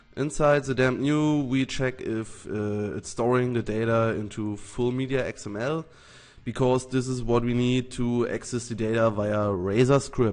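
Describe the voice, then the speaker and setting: Speaking with a German accent, a man at medium pitch keeps a fairly slow pace and fairly even intonation. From Germany. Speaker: software developer. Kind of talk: tutorial. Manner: halting.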